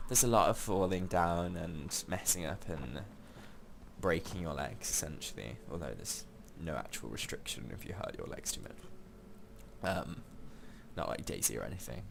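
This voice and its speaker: A man with a very deep, low pitch and lively intonation at a moderate pace, with long, frequent pauses and audible room echo. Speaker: gaming let's play creator. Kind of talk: gameplay commentary. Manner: halting, many fillers.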